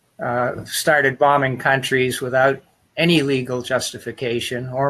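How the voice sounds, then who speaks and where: A man with a normal speaking voice and an American accent talks at a medium pitch and moderate pace. His intonation is fairly even, and the background is quiet. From Massachusetts, US. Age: 60s. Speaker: congressional candidate. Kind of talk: interview.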